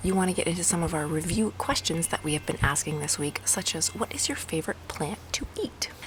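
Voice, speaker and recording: Fairly quick whispering from a woman, with noticeable background noise. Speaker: homeschooling parent vlogger. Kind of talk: tutorial. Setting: outdoors on a walk. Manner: casual.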